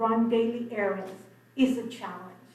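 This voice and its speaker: Over noticeable background noise and audible room echo, a woman speaks in a high voice. Her pace is fairly slow and her intonation fairly even. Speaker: public commenter. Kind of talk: public comment at council meeting. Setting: city commission meeting.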